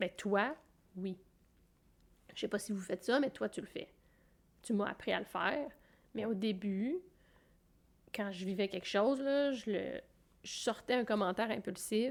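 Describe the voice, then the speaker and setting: At a fairly slow pace and medium pitch, a woman speaks with long, frequent pauses. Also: ordinary pitch variation. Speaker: podcast co-host. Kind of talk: casual chat.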